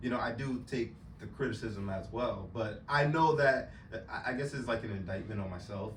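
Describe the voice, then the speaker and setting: At a moderate pace, a man speaks with an American accent and ordinary pitch variation. Audible room echo and noticeable background noise fill the recording. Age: 30s. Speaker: truck driver, podcast guest. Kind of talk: casual chat. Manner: halting, many fillers.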